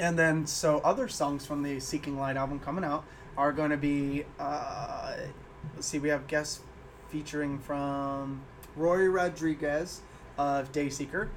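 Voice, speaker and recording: Monotone, flat intonation in an American accent at a fairly slow pace. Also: man, fairly high pitch for a man. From Illinois. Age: 20s. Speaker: musician. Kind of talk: casual chat.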